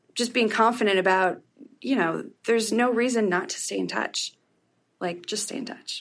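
At a moderate pace, a woman talks in an ordinary speaking voice, fairly high in pitch. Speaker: freelance writer. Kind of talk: casual chat. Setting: office.

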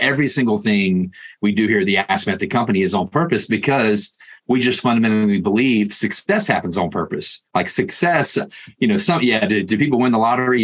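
Speaking at a fairly quick pace, a man uses a Southern US accent. His voice sits fairly low, with ordinary pitch variation. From US South. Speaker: podcast host. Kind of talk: interview.

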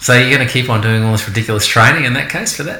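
At a very fast pace, a man speaks with an Australian accent at medium pitch and with ordinary pitch variation. Noticeable background noise and audible room echo are present. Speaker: podcast host, kayak business owner. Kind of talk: casual chat. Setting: at guests' house.

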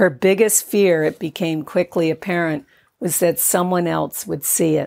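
This woman has an ordinary speaking voice, fairly low in pitch, at a fairly slow pace with fairly even intonation. The recording is very clean, with a silent background and a dry, close sound with no echo. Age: 60s. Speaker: author. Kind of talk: scripted narration.

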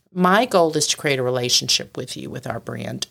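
A woman talks at a moderate pace, her pitch swinging very widely, with vocal fry. The sound is dry and close, with no echo. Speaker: company founder and CEO. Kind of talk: casual interview. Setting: studio.

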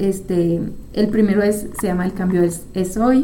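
Audible room echo and noticeable background noise surround the recording. A woman speaks at medium pitch and a moderate pace. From France. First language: French (speaking Spanish). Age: 30s. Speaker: psychologist and podcast host. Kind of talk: casual monologue.

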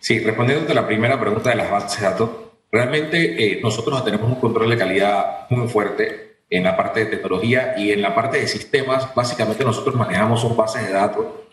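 The speech moves at a fairly quick pace with hardly any pauses and ordinary pitch variation. Audible echo from the room surrounds it. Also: man, medium pitch for a man. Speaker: government agency director. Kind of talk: radio interview.

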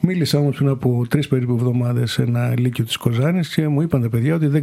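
Speaking at a very fast pace with hardly any pauses, the voice keeps a fairly even intonation over noticeable background noise. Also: man. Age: 50s. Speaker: member of European Parliament. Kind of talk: interview. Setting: Brussels.

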